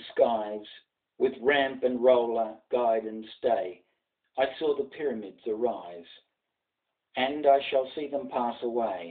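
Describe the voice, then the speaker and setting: Against a quiet background, a man with an Australian accent talks at a very slow pace with ordinary pitch variation. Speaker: journalist. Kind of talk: poetry reading. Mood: solemn, commemorative. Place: home room. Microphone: webcam.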